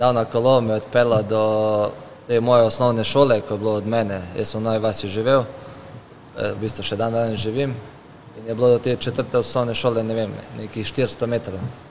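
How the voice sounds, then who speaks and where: Light background noise sits behind a man talking at a medium pitch with monotone, flat intonation. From Slovenia. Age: 30s. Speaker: professional footballer; guest. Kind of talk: casual interview chat. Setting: car showroom. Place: shop. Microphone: studio mic.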